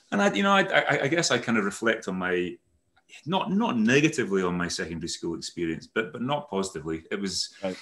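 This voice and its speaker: Talking at a very fast pace, a man has a medium pitch, a bright, sharp tone and very wide pitch swings. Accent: slight Aberdeen. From Netherlands-born, raised Aberdeen Scotland. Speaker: company CEO. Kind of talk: casual chat, interview. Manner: rambling, hesitant, self-correcting.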